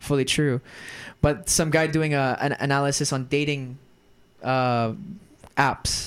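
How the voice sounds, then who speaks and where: The recording is very clean, with a silent background. A man speaks in an American accent. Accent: American-sounding. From Germany. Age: 20s. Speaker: actor and entrepreneur. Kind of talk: casual chat.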